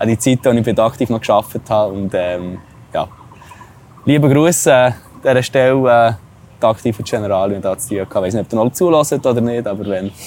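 A man talks at a fairly quick pace with a medium pitch and ordinary pitch variation. He leaves long, frequent pauses. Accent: Swiss. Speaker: travel podcast host. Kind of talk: casual chat.

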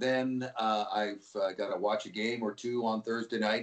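With a Canadian accent, a man uses an ordinary speaking voice at medium pitch, moving at a moderate pace with fairly even intonation. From Vancouver, western Canada. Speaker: sports play-by-play announcer. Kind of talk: interview. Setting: phone call.

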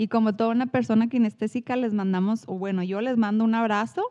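A woman's fairly high-pitched voice at a fairly quick pace, dry and close with no echo. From northern Mexico, Chihuahua. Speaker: psychologist, podcast co-host. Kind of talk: casual chat. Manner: animated.

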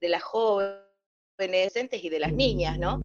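Speaking at a fairly slow pace, a woman with a medium pitch has a plain, everyday voice. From Salta, Argentina. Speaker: journalist and moderator. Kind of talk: panel discussion.

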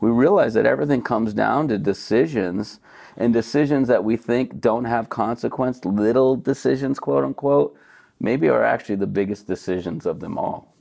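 A man with an American accent speaks at a moderate pace and a medium pitch, his dark, mellow tone touched with vocal fry and lively intonation. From United States. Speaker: beverage company co-founder, former chiropractor. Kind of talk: casual interview.

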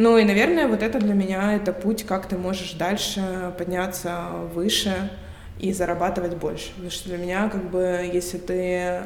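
A woman's monotone, flat delivery at a moderate pace, with noticeable background noise and audible room echo. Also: medium pitch for a woman. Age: 20s. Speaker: entrepreneur and finance expert. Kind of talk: interview.

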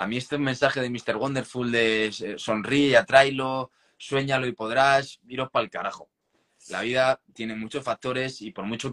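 Dry and close with no echo, a man's voice has a medium pitch and a bright, sharp tone at a moderate pace. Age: 20s. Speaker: writer and poet. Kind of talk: interview.

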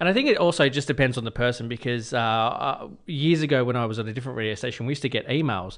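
With an Australian accent, a man talks at a very fast pace with hardly any pauses and ordinary pitch variation. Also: medium pitch for a man, quiet background. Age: 30s. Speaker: radio host. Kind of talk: casual chat.

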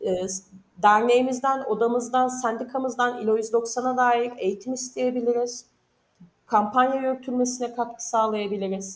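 At a moderate pace, a woman talks in a high voice with fairly even intonation. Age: 30s. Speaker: union researcher. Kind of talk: interview.

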